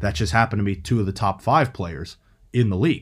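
A man with an American accent and a fairly low, somewhat breathy voice speaks at a moderate pace on a very clean recording with a silent background. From Pittsburgh, Pennsylvania. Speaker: sports podcast host. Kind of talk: solo sports commentary podcast.

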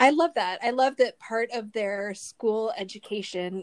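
An ordinary speaking voice comes from a woman with an American accent, pitched fairly high with ordinary pitch variation. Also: very clean recording, silent background. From Southern California. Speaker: podcast co-host, recipe writer. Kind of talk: casual chat.

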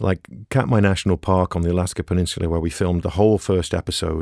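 In a very clean recording with a silent background and a dry, close sound with no echo, a man with an English accent speaks at a moderate pace. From England. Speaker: ecologist and wildlife filmmaker. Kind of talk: interview.

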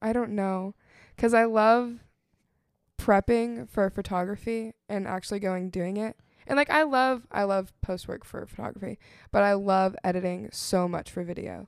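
A woman speaks in a normal speaking voice at medium pitch, with ordinary pitch variation. Her pace is moderate, and the recording is very clean with a silent background. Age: 20s. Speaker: college student and ministry intern. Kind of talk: casual chat.

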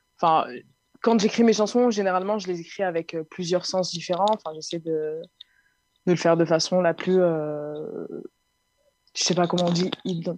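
At a moderate pace broken by long, frequent pauses, a woman speaks at a fairly low pitch with fairly even intonation. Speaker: singer and music producer. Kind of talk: interview.

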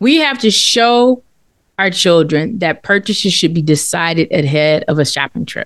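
A woman uses a normal speaking voice at a fairly low pitch, moving at a moderate pace with lively intonation. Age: 50s. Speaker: finance podcast co-host. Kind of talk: casual chat.

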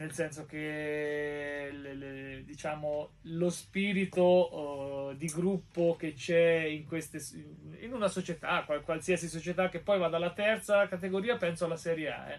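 A man speaks at a very slow pace. His pitch is fairly high, and his intonation fairly even. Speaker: podcast guest. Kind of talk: casual interview.

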